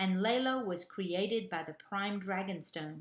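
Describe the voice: Ordinary pitch variation in plain reading aloud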